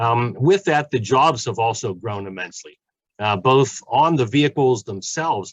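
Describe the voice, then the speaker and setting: The sound is dry and close with no echo over a quiet background as a man with a Pittsburgh accent speaks with ordinary pitch variation. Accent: western Pennsylvania (Pittsburgh) English. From Pittsburgh, western Pennsylvania. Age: 60s. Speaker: community college automotive professor. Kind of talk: panel talk. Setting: webinar.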